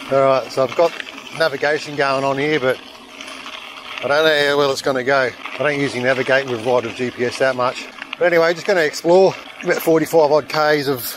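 A man talks at a fairly quick pace with fairly even intonation, the sound dry with no echo and noticeable background noise behind him. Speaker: mountain bike vlogger. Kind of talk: casual vlog chat. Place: bicycle. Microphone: helmet.

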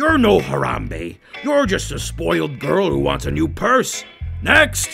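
Faint music runs underneath. A put-on character voice delivers the lines fairly slowly. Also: man, very deep, low pitch for a man. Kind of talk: comedic parody dialogue.

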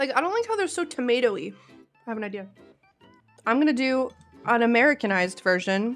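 A woman's high-pitched voice at a fairly quick pace, with faint music in the background. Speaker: streamer. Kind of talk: casual live stream chat. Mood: playful, mildly disgusted. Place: home room. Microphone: studio mic.

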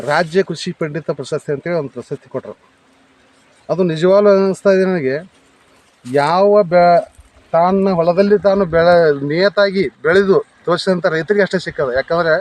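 A man's high voice holds fairly even intonation as he talks. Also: dry, close sound with no echo. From India, Vijayapura district, north Karnataka. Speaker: farmer. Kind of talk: testimony to camera.

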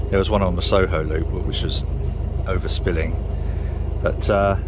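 A man talks at a moderate pace amid noticeable background noise. The sound is dry, with no echo. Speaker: narrowboat owner vlogger. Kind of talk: casual vlog chat. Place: boat.

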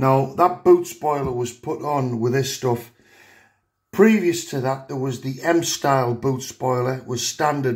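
Somewhat breathy, a man with an English accent speaks at medium pitch with ordinary pitch variation. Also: fairly slow pace, quiet background. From England. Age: 50s. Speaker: car enthusiast youtuber. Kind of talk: tutorial. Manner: hesitant with many fillers. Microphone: phone near.

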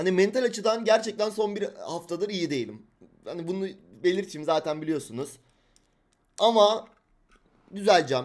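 A man talks in an animated tone with a high pitch and ordinary pitch variation. His pace is moderate. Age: 20s. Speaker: crypto trader and livestream host. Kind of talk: livestream market analysis.

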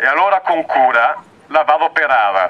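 Moving at a very slow pace, a man with a Venetian accent speaks at a fairly high pitch with lively intonation. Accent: Belluno dialect. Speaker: activist poet. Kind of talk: poetry reading. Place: open country.

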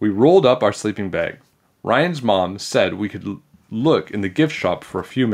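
Against a quiet background, lively intonation runs through text read aloud in a natural voice.

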